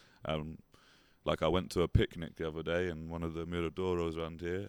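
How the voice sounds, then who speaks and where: Very deep and low in pitch, a man speaks with a London accent. His pace is fairly quick. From London, England. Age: 30s. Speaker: painter and artist. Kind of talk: interview. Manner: fast.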